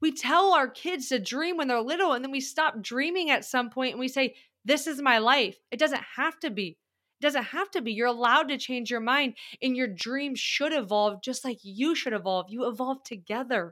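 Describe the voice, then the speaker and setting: A woman speaks at a high pitch with a raised, projected voice, a bright, sharp tone and lively, animated intonation. The pace is moderate, and the recording is very clean with a silent background. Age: 30s. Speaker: growth coach. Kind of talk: casual chat.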